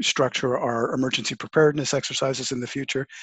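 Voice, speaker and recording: A man with a normal speaking voice, medium pitch and a Canadian accent, his intonation fairly even. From Canada. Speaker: podcast host. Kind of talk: interview conversation. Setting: video call.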